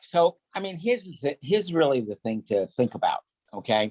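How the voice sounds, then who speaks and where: Speaking at a moderate pace with a Northeastern US accent, a man's voice makes very wide pitch swings in a dry, close sound with no echo. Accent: Northeast US. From New York. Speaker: sales rep. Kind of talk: business meeting.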